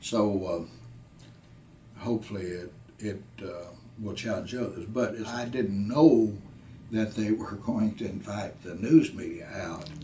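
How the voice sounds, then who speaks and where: Audible room echo surrounds a man whose fairly low voice shows ordinary pitch variation. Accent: western Kentucky. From US South. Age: 80s+. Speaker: war veteran. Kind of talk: interview. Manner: halting, many fillers.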